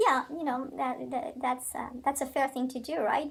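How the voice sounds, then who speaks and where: A woman speaks at a fairly quick pace in a high voice, her intonation fairly even. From Belgium. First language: French. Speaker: criminal defense attorney. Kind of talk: interview. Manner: hesitant, many fillers.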